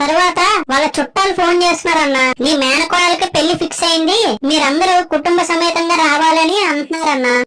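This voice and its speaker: A cartoonish character voice speaks at a moderate pace with an extremely high pitch. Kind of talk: comedy skit narration. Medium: puppet. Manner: exasperated, complaining.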